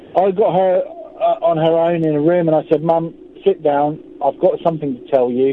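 Through noticeable background noise, a man with a high voice talks at a moderate pace. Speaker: caller. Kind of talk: testimony. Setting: phone call in parked car. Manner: halting.

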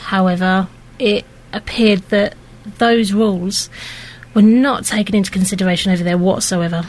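Amid noticeable background noise, a woman talks at a moderate pace and medium pitch with fairly even intonation. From Luton. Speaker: mother. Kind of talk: interview. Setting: studio. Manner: hesitant.

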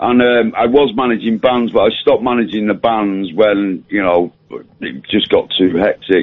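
This man has a plain, everyday voice, talking at a moderate pace and a medium pitch with ordinary pitch variation. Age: 60s. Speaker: caller, author. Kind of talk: phone-in chat. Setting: phone call.

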